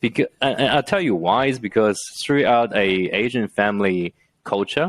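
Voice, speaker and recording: Over a silent background in a very clean recording, a man with a Chinese accent talks with lively intonation. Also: medium pitch for a man, moderate pace. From China, Shanghai. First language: Mandarin Chinese. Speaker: entrepreneur and engineer. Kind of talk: podcast interview. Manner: halting, many fillers.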